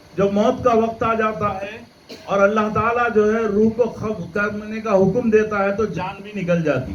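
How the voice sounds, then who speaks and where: A man speaks with a high pitch and fairly even intonation. The room echo is audible, and there is noticeable background noise. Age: 70s. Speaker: Islamic preacher. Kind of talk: religious lecture.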